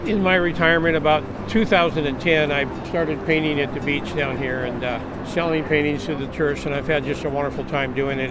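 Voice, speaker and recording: There is music in the background and audible room echo as a man with an American accent talks at a fairly quick pace. His pitch is fairly high, with ordinary variation. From Southern California (San Diego). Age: 70s. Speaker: retired fisherman and painter. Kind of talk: casual interview monologue. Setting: outdoors at the beach.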